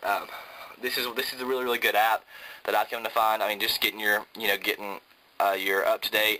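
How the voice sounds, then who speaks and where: Speaking at a medium pitch with a Southern US accent, a man keeps his intonation monotone and flat. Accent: Southern American. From Georgia, US South. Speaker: college student video reviewer. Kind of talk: product review tutorial. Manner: casual, filler-heavy. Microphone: phone near.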